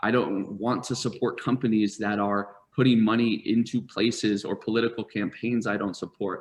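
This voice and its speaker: In an American accent, a man with an unremarkable speaking voice talks at medium pitch with fairly even intonation. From US Northeast, rural southern Vermont. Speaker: startup founder and CEO. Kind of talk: interview storytelling. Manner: many fillers and repetitions.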